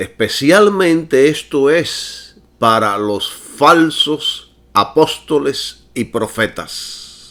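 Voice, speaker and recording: A man speaks at a very slow pace with hardly any pauses. His pitch is fairly high and his intonation lively. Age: 60s. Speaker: preacher. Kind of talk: sermon.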